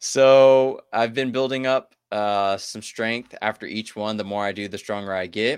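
With an American accent and a plain, everyday voice, a man speaks at a fairly low pitch and a fairly slow pace, with fairly even intonation, hardly any pauses, and a quiet background. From US South, southeast Texas. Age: 20s. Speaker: active-duty military dietitian and ultrarunner. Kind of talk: casual chat.

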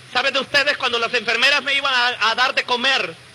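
Speaking at a fairly quick pace, a man uses a raised, projected voice at an extremely high pitch over noticeable background noise. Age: 30s. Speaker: evangelical testimony speaker. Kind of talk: testimony. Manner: animated.

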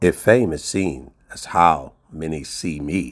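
With vocal fry and ordinary pitch variation, a man speaks in a very deep, low voice. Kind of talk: poetry reading, spoken word. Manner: measured, earnest, rhythmic; reflective, sincere.

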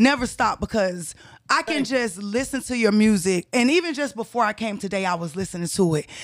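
Lively intonation and a fairly quick pace mark an ordinary speaking voice, heard on a very clean recording with a silent background. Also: woman, fairly high pitch for a woman. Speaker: podcast co-host, interviewer. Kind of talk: casual interview.

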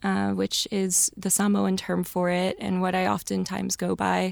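In an American accent, a woman talks at a fairly slow pace. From US Midwest, St. Louis suburbs, Missouri. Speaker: advertising strategist. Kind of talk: casual interview.

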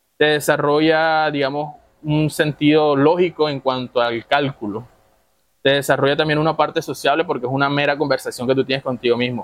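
In an unremarkable speaking voice, a man talks at a fairly quick pace with fairly high pitch and fairly even intonation. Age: 20s. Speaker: chess player and club member. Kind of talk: casual chat.

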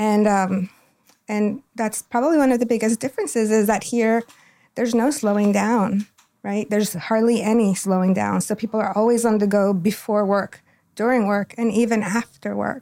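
Speaking with a Spanish accent, a woman uses a fairly high pitch and a dark, mellow tone, keeping her loudness very even and her intonation fairly even at a moderate pace, on a very clean recording with a silent background. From Ecuador (Quito). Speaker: school district family engagement coordinator. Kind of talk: interview.

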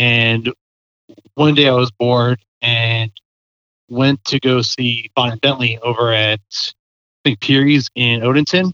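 A man with an American accent speaks at a very slow pace in a medium pitch, his bright, sharp tone and fairly even intonation captured in a dry, close sound with no echo. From Baltimore County, Maryland. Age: 30s. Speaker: concert photographer. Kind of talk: casual interview chat. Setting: phone call.

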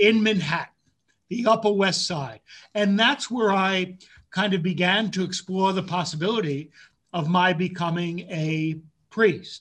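With an American accent, a man speaks at a fairly slow pace in a high voice, his pitch varying in an ordinary way. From New York City area (Bronx, Yonkers). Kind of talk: interview.

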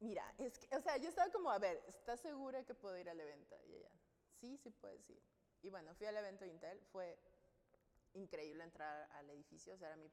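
A woman at a medium pitch, very fast pace, very wide pitch swings and big swings in loudness. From Mexico, Sinaloa. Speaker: UX designer. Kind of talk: interview.

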